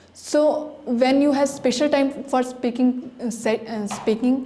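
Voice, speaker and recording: Over noticeable background noise, a woman with an Indian accent speaks in a high voice with fairly even intonation. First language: Hindi. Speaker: language school student. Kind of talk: prepared testimonial speech. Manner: halting, with false starts.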